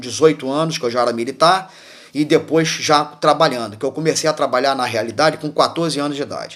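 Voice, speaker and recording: Ordinary pitch variation from a man with a fairly high-pitched voice. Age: 60s. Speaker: former military, political commentator. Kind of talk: political monologue. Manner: halting, many repetitions and fillers; impassioned.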